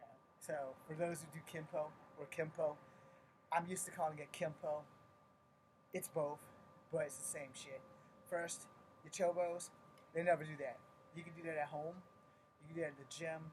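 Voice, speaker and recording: A quiet man's fairly high voice, monotone and flat, at a moderate pace with long, frequent pauses and big swings in loudness. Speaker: martial arts instructor. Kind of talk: live-streamed tutorial. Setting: at home at night, live stream. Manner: kept quiet.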